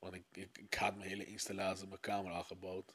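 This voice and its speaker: Very deep and low in pitch, a man speaks with flat, monotone intonation. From Aruba. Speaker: music producer. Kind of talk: casual chat.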